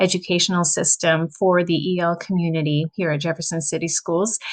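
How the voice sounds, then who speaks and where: A woman at a medium pitch, her sound dry and close with no echo. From Quebec, Canada. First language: French. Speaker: teacher. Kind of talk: recorded presentation. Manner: hesitant, with filler words.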